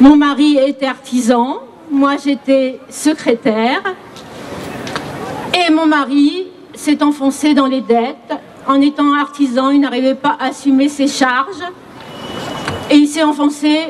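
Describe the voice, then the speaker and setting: Amid noticeable background noise, a high-pitched woman speaks very slowly with fairly even intonation and long, frequent pauses. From Paris region. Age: 60s. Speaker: retiree speaking at a rally. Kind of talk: testimony.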